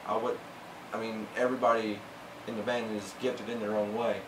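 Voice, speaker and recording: Over noticeable background noise and audible room echo, a man talks at a fairly quick pace in a monotone, flat intonation at a medium pitch. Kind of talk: interview. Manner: halting, many fillers.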